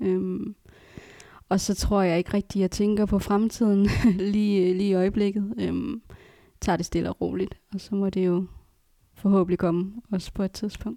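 A woman's dark, mellow voice at medium pitch, with fairly even intonation and long, frequent pauses, in a very clean recording with a silent background and a dry, close sound with no echo. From Aalborg area, Denmark. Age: 20s. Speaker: adoptee. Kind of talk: casual chat.

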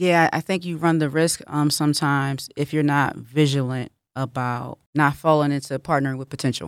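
In a very clean recording with a silent background and a dry, close sound with no echo, a woman with an American accent speaks at a moderate pace in a very deep, low pitch with fairly even intonation. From Philadelphia. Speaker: relationship podcast host. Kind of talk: radio interview.

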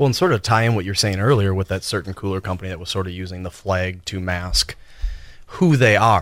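A man's plain, everyday voice, fairly low in pitch, fairly quick, with fairly even intonation. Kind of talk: radio DJ patter: joking, teasing banter between co-hosts during live radio. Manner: playful, quick-witted and goofy, deadpan ribbing.

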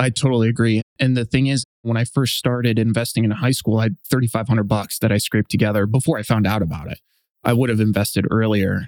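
A man with an American accent, medium pitch and fairly even intonation, at a very fast pace in a dry, close sound with no echo. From US, Los Angeles. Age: 30s. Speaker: investor and former marine officer. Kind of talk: interview conversation.

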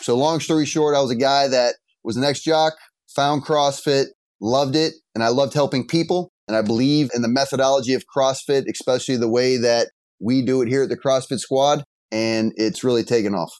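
In an ordinary speaking voice, a man talks at a fairly quick pace with a medium pitch, ordinary pitch variation and very even loudness against a quiet background. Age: 30s. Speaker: gym owner. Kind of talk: casual interview.

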